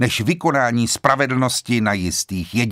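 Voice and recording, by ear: A text is read aloud in a natural voice, the pitch moving in a normal way.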